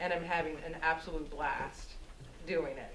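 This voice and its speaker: This woman speaks at a fairly slow pace with a fairly low pitch. Noticeable background noise and audible room echo are present. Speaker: radio host. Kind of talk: talk to an audience, answering questions. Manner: animated.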